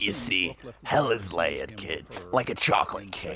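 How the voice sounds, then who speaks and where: A man performs a put-on character voice at a moderate pace. Sound effects play in the background. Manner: sardonic, rambling, profane.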